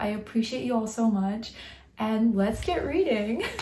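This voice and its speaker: Noticeable background noise runs under the recording. A woman with a fairly high pitch speaks at a moderate pace. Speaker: book vlogger. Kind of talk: casual vlog talk. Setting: at home at night.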